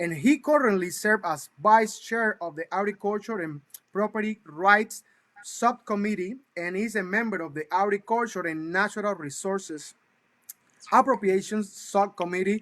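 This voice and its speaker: Speaking with an enthusiastic tone in a Cuban accent, a man talks at a moderate pace with high pitch and big swings in loudness, in a dry, close sound with no echo. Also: ordinary pitch variation. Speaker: talk show host. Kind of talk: interview show introduction. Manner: halting, many fillers.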